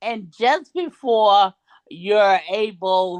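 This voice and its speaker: A woman's voice comes through with a dry, close sound, no echo, and a quiet background. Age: 60s. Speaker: ordained minister and motivational speaker. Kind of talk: testimony.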